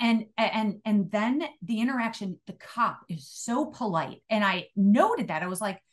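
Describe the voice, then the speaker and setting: A woman with an American accent speaks fairly slowly at a medium pitch, somewhat breathy, against a quiet background. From Illinois. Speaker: retired police chief. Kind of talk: interview.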